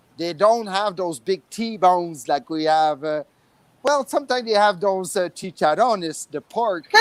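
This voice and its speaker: Lively intonation and a strong French Canadian accent come through at a moderate pace, with a dry, close sound with no echo on a very clean recording with a silent background. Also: man, high pitch for a man. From Quebec, Montreal. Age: 50s. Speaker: expat resident. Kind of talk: casual panel chat. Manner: halting, many fillers.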